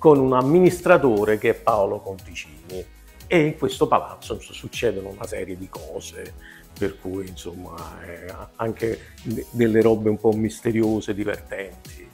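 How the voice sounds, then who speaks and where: A man with a Neapolitan accent at a moderate pace, loudness swinging widely, long pauses coming often, faint music behind him. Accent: Neapolitan Italian. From Naples, Italy. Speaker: comic actor. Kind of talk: interview answer. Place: home room. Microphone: lapel.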